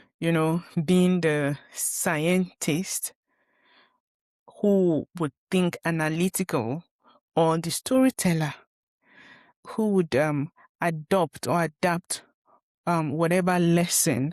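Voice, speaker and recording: Speaking very slowly with fairly even intonation, a woman in a northern Nigerian accent has a fairly low pitch, heard in a dry, close sound with no echo on a very clean recording with a silent background. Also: long, frequent pauses. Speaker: podcast host and former pharmacist. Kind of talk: personal monologue. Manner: halting, many fillers.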